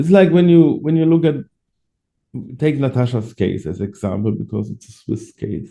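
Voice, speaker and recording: Lively intonation marks this man's dark, mellow voice. He speaks with a German accent. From Germany. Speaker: adoptee rights activist. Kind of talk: interview. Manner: halting.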